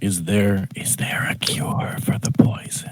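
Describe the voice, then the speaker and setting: A man whispering in a put-on character voice at a fairly slow pace. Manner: soft, whispery, ASMR.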